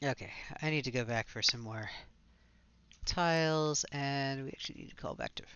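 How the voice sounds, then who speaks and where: Pitched fairly high, a man mumbles at a fairly quick pace. Long, frequent pauses break up his speech. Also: big swings in loudness. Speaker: video game streamer. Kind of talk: casual live stream commentary. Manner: mumbling a little.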